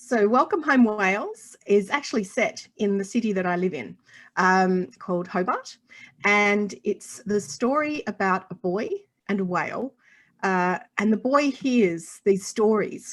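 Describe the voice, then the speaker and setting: A woman speaks at a medium pitch with an Australian accent. Her intonation is lively and her pace fairly slow. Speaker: children's author and illustrator. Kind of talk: interview.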